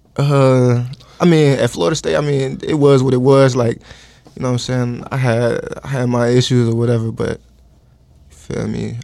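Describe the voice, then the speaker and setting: With a dark, mellow tone and medium pitch, a man speaks at a moderate pace, with long, frequent pauses. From Georgia. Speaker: college football player. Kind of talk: casual chat. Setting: studio.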